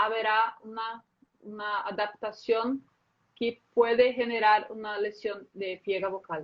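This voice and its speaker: A woman talks at a very slow pace with fairly high pitch and fairly even intonation. Her loudness swings widely. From Brazil. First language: Portuguese (speaking Spanish). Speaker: voice specialist, speech therapist. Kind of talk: live interview. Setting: live video stream. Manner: halting.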